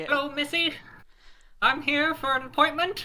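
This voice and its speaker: A man uses a put-on character voice at an extremely high pitch. His pace is moderate. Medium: actual play. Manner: folksy, polite, calls others missy.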